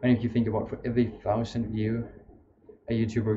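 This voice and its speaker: Speaking with a non-native accent, a man uses a somewhat breathy voice at a medium pitch. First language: not English. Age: young. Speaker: streamer. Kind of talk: casual chat. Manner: halting.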